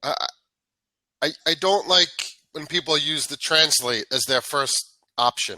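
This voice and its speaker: A man with a New York accent has a bright, sharp tone and fairly high pitch with ordinary variation. The sound is dry and close, with no echo. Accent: New York American English. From New York, US. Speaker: English tutor. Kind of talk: casual chat. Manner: energetic.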